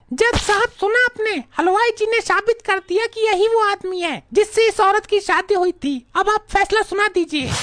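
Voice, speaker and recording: Doing a cartoonish character voice, a woman speaks at an extremely high pitch and a moderate pace with hardly any pauses and ordinary pitch variation, in a dry, close sound with no echo. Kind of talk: dramatic courtroom speech.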